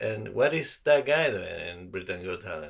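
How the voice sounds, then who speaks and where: Speaking fairly slowly with a non-native accent, a man shows vocal fry and a bright, sharp tone. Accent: foreign. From South America (Argentina/Ecuador). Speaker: comedian. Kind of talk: casual chat.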